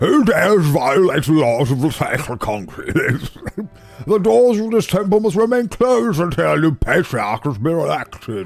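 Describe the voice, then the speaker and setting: Music plays in the background as a man puts on a character voice, high in pitch with very wide pitch swings, at a moderate pace. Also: hardly any pauses. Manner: commanding, stern.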